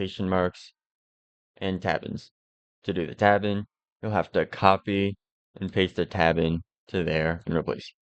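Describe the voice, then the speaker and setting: A man with a very deep, low voice speaks in a flat monotone at a fairly slow pace, with long, frequent pauses. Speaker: modding tutorial creator. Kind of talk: tutorial. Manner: casual.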